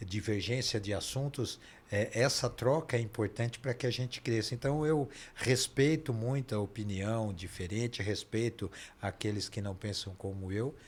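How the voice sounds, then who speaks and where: A man with a fairly low, somewhat breathy voice talks at a moderate pace with ordinary pitch variation, in a very clean recording over a silent background. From Brazil, São Paulo. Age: 60s. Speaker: dentist and Freemasonry leader. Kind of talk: interview conversation. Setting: podcast studio, live stream.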